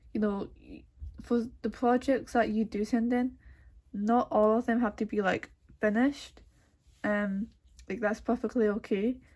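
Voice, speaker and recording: A woman speaks in a fairly high, somewhat breathy voice, leaving long and frequent pauses. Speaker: art student. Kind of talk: tutorial. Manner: casual with many fillers.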